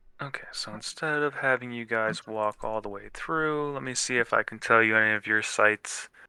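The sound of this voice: In an unforced reading voice, the pitch varies in an ordinary way.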